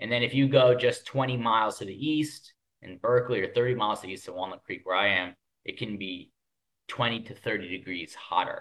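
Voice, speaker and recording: At a fairly quick pace, a man with an ordinary speaking voice and an American accent talks at medium pitch with ordinary pitch variation and big swings in loudness. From US Northeast, Connecticut near New York. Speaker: podcast co-host. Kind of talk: casual chat.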